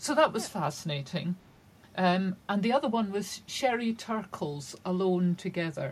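In a Shetland accent, a woman speaks at a medium pitch and a moderate pace. Her voice is somewhat breathy, with lively intonation. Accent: Shetland Scottish. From Scotland, Shetland. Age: 60s. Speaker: crime novelist. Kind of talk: casual interview.

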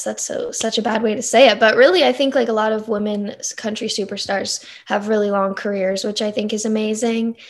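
With an American accent and a fairly high pitch, a woman speaks at a moderate pace in a very clean recording with a silent background. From North Carolina. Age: 20s. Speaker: country singer-songwriter. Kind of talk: interview.

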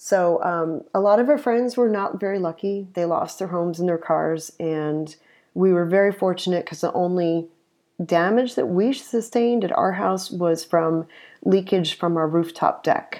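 Over a quiet background, a woman with an American accent and an unremarkable speaking voice talks at a moderate pace, with a fairly low pitch and ordinary pitch variation. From upstate New York. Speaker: conference director. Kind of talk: interview. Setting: home office.

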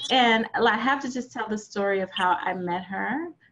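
A woman's somewhat breathy, fairly high voice with ordinary pitch variation. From Louisiana, New Orleans. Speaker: podcast host. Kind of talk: interview; scripted narration. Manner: animated.

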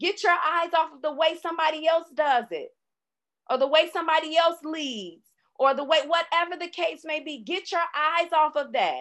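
The speech moves at a moderate pace. Its pitch variation is ordinary. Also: woman, extremely high pitch for a woman. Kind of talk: faith-based teaching session. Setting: live online call recorded for podcast. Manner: runs out of breath while speaking.

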